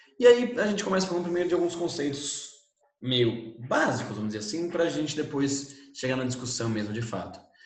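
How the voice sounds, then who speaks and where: A man's fairly high voice, fairly quick in pace, with very wide pitch swings and audible room echo. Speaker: teacher. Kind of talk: lecture. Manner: animated.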